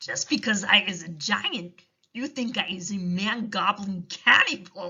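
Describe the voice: The pitch moves with ordinary variation. It is plain reading aloud against a quiet background.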